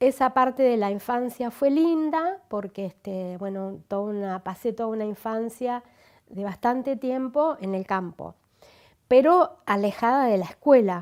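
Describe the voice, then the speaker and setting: A woman's fairly high voice with lively intonation, an ordinary speaking voice, in a very clean recording with a silent background. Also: fairly slow pace. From Argentina, Buenos Aires province. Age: 60s. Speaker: interviewee. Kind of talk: life story interview.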